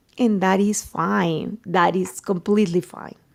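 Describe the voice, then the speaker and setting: A woman speaks with a Mexican accent at a fairly slow pace. Her voice has vocal fry. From Mexico. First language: Spanish. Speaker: journalist. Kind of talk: interview.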